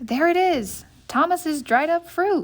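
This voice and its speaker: Using a squeaky, put-on character voice at an extremely high pitch, a woman speaks at a fairly slow pace with ordinary pitch variation. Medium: read story.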